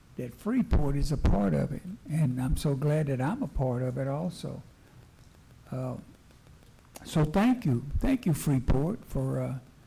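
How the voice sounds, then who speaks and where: With a Texan accent, a man speaks at a fairly slow pace in a fairly high, somewhat breathy voice with a dark, mellow tone. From US South. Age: 70s. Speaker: city council member. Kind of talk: council meeting remarks. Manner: halting, repeats words.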